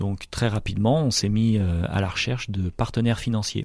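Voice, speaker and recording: A man speaks at a moderate pace in a fairly low pitch, his tone dark and mellow, with ordinary pitch variation over a quiet background. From French Alps. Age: 40s. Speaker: company president. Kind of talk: interview. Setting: company headquarters. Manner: hesitant, many fillers.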